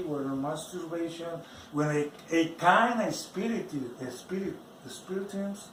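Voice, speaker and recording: There is noticeable background noise as a man with a non-native accent speaks in a high pitch with lively intonation. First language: not English. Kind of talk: personal religious testimony.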